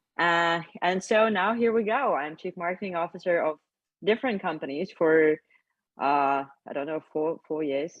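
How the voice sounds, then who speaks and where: This woman's voice sits very deep and low. Her pitch rises and falls in an ordinary way. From Lithuania. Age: 20s. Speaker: crypto company marketing executive. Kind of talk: casual interview. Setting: video call.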